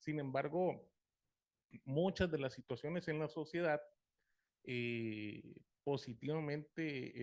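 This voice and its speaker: Here a man talks with a fairly high pitch. His pitch varies in an ordinary way. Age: 40s. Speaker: support group member. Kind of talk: group sharing.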